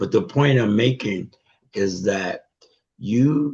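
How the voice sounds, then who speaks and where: With lively intonation, a man speaks at a very slow pace. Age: 70s. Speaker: participant in men's fellowship group. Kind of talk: testimony. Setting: video call.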